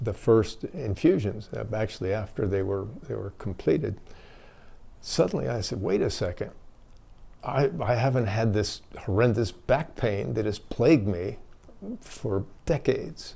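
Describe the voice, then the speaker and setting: A man speaks at a fairly slow pace with a fairly low pitch and vocal fry. His tone is dark and mellow, and his intonation is lively. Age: 70s. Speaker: army veteran. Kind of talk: testimony. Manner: halting.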